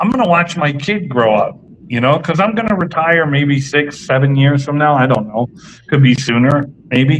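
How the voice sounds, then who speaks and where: With ordinary pitch variation, an unremarkable speaking voice keeps a moderate pace. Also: man, fairly high pitch for a man. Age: 50s. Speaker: cigar company representative. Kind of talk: casual interview chat. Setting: live stream show.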